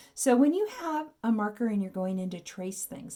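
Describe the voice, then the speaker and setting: A woman's somewhat breathy voice, dark and mellow in tone, with lively intonation. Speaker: art teacher. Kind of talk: tutorial.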